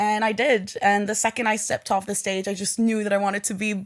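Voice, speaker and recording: A woman's fairly high voice at a very fast pace, on a very clean recording with a silent background. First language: French and Arabic. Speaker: poet. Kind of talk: interview.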